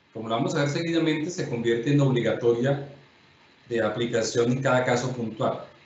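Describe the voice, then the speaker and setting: A man's fairly quick speech with ordinary pitch variation, audible room echo and light background noise. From Colombia. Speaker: judge and lecturer; judge, lecturer. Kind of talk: lecture. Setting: videoconference. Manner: formal. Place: home room. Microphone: webcam.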